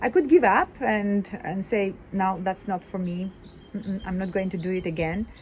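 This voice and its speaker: Speaking with a non-native accent, a woman of medium pitch sounds somewhat breathy, keeping a moderate pace and fairly even intonation. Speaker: women's business club founder. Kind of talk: casual video monologue. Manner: halting, many fillers.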